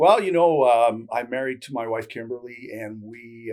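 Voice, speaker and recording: A man with a Canadian accent has an unremarkable speaking voice, medium in pitch, moving at a moderate pace with ordinary pitch variation. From Canada. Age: 60s. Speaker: barter trade broker. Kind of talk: interview. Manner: casual, many fillers.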